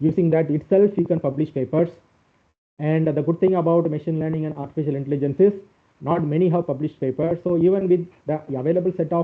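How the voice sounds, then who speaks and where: A man rattles along at a very fast pace in a fairly high pitch with fairly even intonation. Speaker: professor. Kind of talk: lecture. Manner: halting, many fillers.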